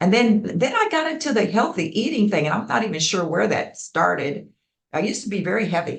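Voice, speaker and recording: The voice sounds animated and somewhat breathy, its pitch swinging very widely. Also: woman, medium pitch for a woman. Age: 80s+. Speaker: community arts program founder. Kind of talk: interview.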